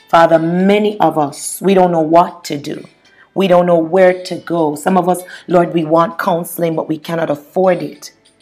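Her voice fairly low, a woman speaks at a moderate pace with monotone, flat intonation. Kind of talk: fervent prayer, intercessory petition to God. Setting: solo podcast recording. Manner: earnest, impassioned, pleading; repetitive, halting with stammered repeats.

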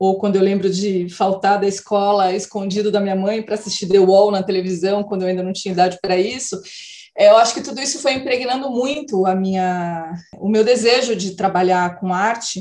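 A woman's unremarkable speaking voice at medium pitch, fairly quick, with ordinary pitch variation. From interior of São Paulo state, Brazil. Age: 40s. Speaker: filmmaker and festival curator. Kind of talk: casual interview.

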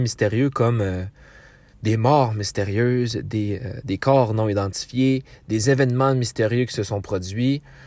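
In a Quebec accent, a man speaks at a fairly slow pace with fairly even intonation. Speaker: podcast host. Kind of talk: true crime storytelling. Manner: hesitant, many filler words.

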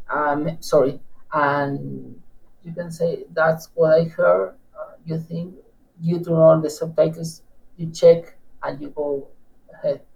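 With an Argentine accent, a man speaks at a very slow pace, his intonation fairly even, his loudness swinging widely, and his pauses long and frequent. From Argentina, Patagonia (Neuquén). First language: Spanish. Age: 30s. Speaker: guest, language learner. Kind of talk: interview, casual chat.

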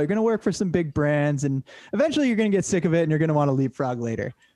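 A man's dark, mellow voice with very wide pitch swings at a very fast pace. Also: dry, close sound with no echo. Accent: American. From Massachusetts, Cape Cod. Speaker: filmmaker and production company co-founder. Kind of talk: casual chat.

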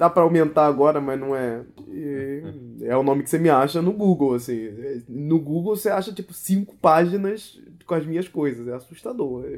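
A man's normal speaking voice, fairly high-pitched, with lively intonation at a moderate pace. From Brazil, Rio de Janeiro. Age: 30s. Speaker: illustrator and designer. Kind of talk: casual interview. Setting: home recording.

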